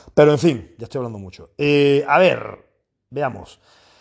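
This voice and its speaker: Against a quiet background, a man speaks in an animated tone at a moderate pace. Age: 40s. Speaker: fitness coach and podcaster. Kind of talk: casual monologue.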